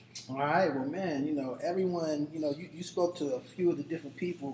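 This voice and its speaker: Noticeable background noise sits behind a fairly quick delivery with fairly even intonation. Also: man. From Dayton, Ohio. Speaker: podcast host. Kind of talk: interview. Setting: restaurant.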